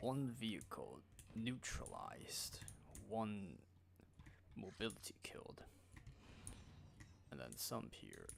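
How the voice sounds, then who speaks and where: A man speaks quietly at a very slow pace, with long, frequent pauses, big swings in loudness and audible room echo. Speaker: gaming streamer. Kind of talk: live gameplay commentary. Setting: live stream. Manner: casual.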